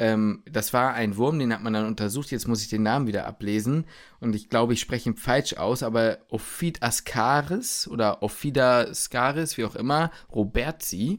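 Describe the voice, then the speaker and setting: A man has an unremarkable speaking voice, with medium pitch, ordinary pitch variation and a moderate pace, in a very clean recording with a silent background. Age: 20s. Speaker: medical student. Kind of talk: casual chat.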